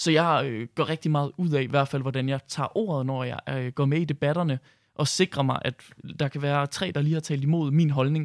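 On a very clean recording with a silent background and a dry, close sound with no echo, a man uses an unremarkable speaking voice, fairly high in pitch, with fairly even intonation at a moderate pace. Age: 20s. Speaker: youth party chairman. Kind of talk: radio interview. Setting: studio.

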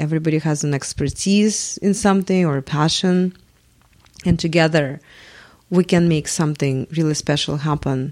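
In a Russian accent, a woman speaks at a moderate pace with a very deep, low pitch and ordinary pitch variation. The recording is very clean, with a silent background. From Russia, Moscow. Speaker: multimedia artist. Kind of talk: interview. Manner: hesitant, many fillers.

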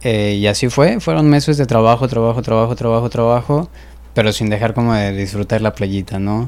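Using an ordinary speaking voice, a man talks at a fairly quick pace in a medium pitch with ordinary pitch variation. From Mexico, Guadalajara. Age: 20s. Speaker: restaurant owner. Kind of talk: casual interview chat.

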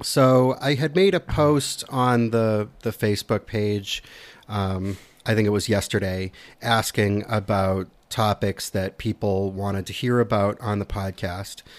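The man has an unremarkable speaking voice, fairly low in pitch with ordinary pitch variation, at a fairly slow pace. The recording is very clean with a silent background. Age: 40s. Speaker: podcast host, historical reenactor. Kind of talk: casual chat.

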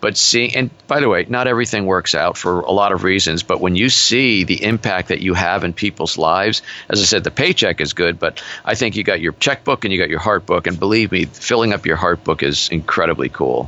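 A man talks at a fairly quick pace with hardly any pauses, his pitch very deep and low and his intonation lively. His loudness stays very even, while noticeable noise runs in the background. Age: 60s. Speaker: business coach. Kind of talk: interview. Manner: forceful.

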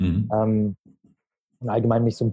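Somewhat breathy and dark, mellow in tone, a man talks at a fairly quick pace and a medium pitch. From Berlin, Germany. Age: 20s. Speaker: marketing consultant. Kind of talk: podcast interview.

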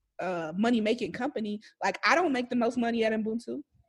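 Speaking with an American accent at a moderate pace, a woman sounds animated, her fairly high pitch showing ordinary variation. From Milwaukee, US Midwest. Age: 30s. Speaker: researcher and entrepreneur. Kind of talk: interview.

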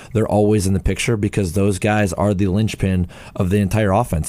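Speaking at a very fast pace over noticeable background noise, a man has a very deep, low pitch. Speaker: former NFL player and analyst. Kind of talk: casual sports talk.

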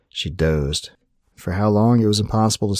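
With an ordinary speaking voice, a man talks at a fairly quick pace. His pitch is fairly low with ordinary variation, and the sound is dry and close with no echo. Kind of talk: dramatic narration of a fantasy story, read aloud. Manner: calm, soothing, storyteller's pacing.

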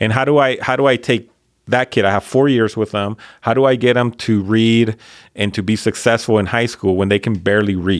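A man with a Spanish accent at medium pitch, fairly quick in pace, with fairly even intonation and very even loudness. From Mexico (Colima), then Northern California labor camp. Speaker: high school principal. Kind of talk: casual chat. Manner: repetitive false starts, casual.

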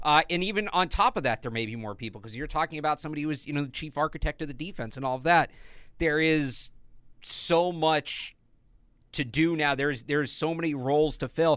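On a very clean recording with a silent background, a man speaks at a fairly quick pace in a fairly high pitch. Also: ordinary pitch variation. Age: 20s. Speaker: sports podcast host. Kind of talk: casual chat. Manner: animated.

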